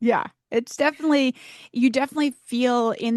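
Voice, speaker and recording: A woman speaks at a fairly quick pace in a plain, everyday voice, her pitch rising and falling in an ordinary way. The sound is dry and close with no echo, over a quiet background. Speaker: fundraising auctioneer. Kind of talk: podcast interview answer.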